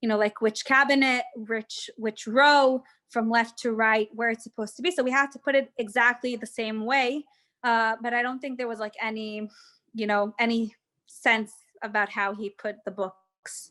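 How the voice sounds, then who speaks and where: A woman speaks in a bright, sharp tone with fairly even intonation. The sound is dry and close with no echo, and the background is quiet. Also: moderate pace. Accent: American. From Israel. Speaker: tour guide. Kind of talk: guided tour Q&A. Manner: casual, hesitant with many fillers.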